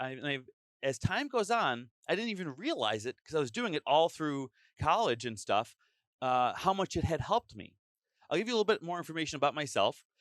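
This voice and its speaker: The loud voice swings very widely in pitch, recorded very cleanly against a silent background with a dry, close sound and no echo. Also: man. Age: 30s. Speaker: teacher and YouTuber. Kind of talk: casual chat. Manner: over-enunciating.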